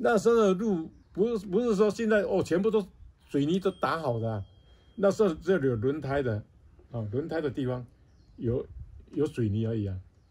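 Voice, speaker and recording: Pitched fairly high with very wide swings, a man's dark, mellow voice moves at a moderate pace broken by long, frequent pauses. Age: 80s+. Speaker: retired logger. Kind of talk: interview answer. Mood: calm reminiscing. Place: home room. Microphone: phone near.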